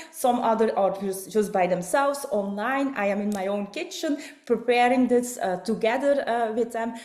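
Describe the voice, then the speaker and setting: A woman with a Flemish Belgian accent speaks at a moderate pace in a fairly high pitch with ordinary pitch variation. Audible room echo and noticeable background noise are present. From Belgium. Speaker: network marketing distributor and presenter. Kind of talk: online business presentation. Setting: online video call. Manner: halting, many fillers.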